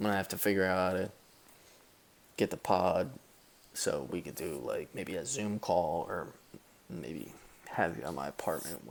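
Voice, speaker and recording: A man's very deep, low voice with vocal fry and lively intonation, at a moderate pace with long, frequent pauses and big swings in loudness. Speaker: sports podcast host. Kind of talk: casual chat. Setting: at home. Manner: animated.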